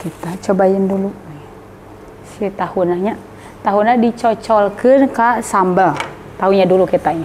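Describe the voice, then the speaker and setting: Over light background noise, a woman speaks with ordinary pitch variation and long, frequent pauses. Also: moderate pace. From West Java, Indonesia. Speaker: food vlogger. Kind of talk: mukbang food vlog. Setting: food stall. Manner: animated. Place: shop.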